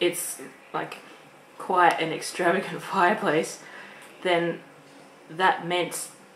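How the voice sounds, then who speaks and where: A woman speaking at a fairly slow pace, with audible room echo and noticeable background noise. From Australia. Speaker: vlogger. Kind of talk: casual chat. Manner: halting.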